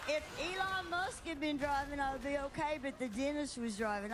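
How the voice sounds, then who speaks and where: A woman's high voice, fairly quick and lively in intonation, with noticeable background noise. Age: 60s. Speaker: comedian. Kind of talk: casual chat.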